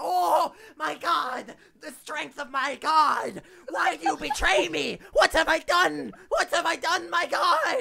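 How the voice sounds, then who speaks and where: Someone does a put-on character voice, high in pitch and at a fairly slow pace. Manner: terrified, pleading, dramatic.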